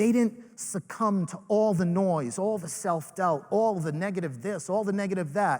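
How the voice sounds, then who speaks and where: A man's high-pitched, animated voice in a Rhode Island accent. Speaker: network marketing leader, motivational speaker. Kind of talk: motivational speech. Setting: stage with live audience.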